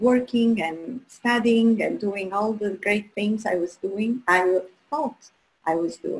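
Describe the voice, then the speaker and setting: At a very slow pace, a woman speaks in an Albanian accent, medium in pitch with ordinary pitch variation. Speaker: human design coach, guest host. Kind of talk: live show presentation.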